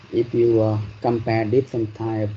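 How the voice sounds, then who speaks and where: Amid audible room echo, a man talks at a moderate pace in a fairly low, monotone, flat voice. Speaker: university lecturer. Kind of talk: lecture. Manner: hesitant, many fillers.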